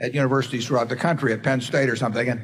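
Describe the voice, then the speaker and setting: Somewhat breathy and very fast, a man speaks at a medium pitch with fairly even intonation. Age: old. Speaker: investor. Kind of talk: interview answer.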